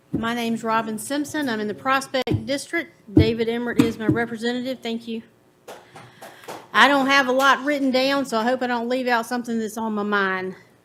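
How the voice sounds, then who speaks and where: A woman speaks at a fairly quick pace with a Virginia accent and a fairly high pitch. Her intonation is fairly even over noticeable background noise. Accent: Southern US (Virginia). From US South, Farmville, Virginia. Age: 50s. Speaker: resident giving public comment. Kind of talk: public comment at county board meeting.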